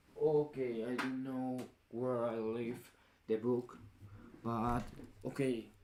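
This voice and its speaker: A man with a medium pitch and fairly even intonation. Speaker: vlogger. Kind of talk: casual vlog monologue. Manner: halting, self-correcting.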